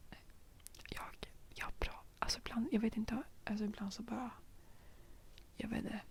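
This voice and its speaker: Long, frequent pauses break up the speech. A woman delivers it in a whisper. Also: moderate pace. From Stockholm, Sweden. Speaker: ASMR youtuber. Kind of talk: ASMR rambling chat. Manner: soft-spoken; hesitant, many fillers.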